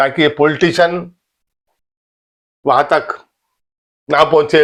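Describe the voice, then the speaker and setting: A man is speaking. The background is quiet. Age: 60s. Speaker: political commentator. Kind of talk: political monologue.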